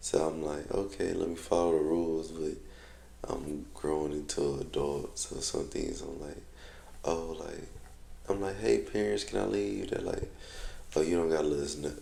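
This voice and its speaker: A man talks at a moderate pace with long, frequent pauses, his voice carrying audible room echo. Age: 20s. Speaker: vlogger. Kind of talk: casual vlog monologue.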